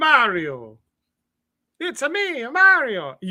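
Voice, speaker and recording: This is a put-on character voice at a high pitch. It carries an Italian accent as part of the act. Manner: bouncy, exaggerated.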